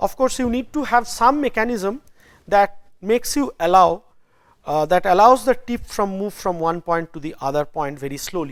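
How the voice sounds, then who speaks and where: A very clean recording with a silent background, at a moderate pace. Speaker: university lecturer. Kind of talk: lecture. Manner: hesitant, with fillers.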